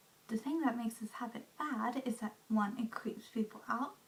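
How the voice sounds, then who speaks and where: A soft-spoken whisper at a moderate pace. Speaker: beauty/lifestyle vlogger. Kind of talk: casual vlog monologue. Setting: at home. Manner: whispering, soft; hesitant, many fillers.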